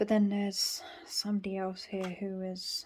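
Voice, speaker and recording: A woman at medium pitch with a British accent, flat and monotone, at a fairly slow pace. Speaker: tarot reader. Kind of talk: tarot reading to camera.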